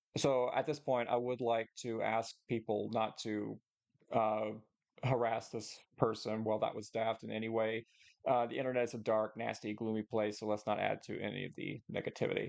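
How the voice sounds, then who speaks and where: With monotone, flat intonation, a man speaks at a moderate pace. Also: medium pitch for a man. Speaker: history youtuber and artist. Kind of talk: response video commentary. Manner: halting, many filler words; occasionally slurred words.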